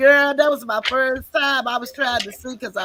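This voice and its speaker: Noticeable background noise runs through the clip. Over it, a woman talks at a moderate pace. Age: 60s. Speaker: live-stream podcast host. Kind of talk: casual chat. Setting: live video stream.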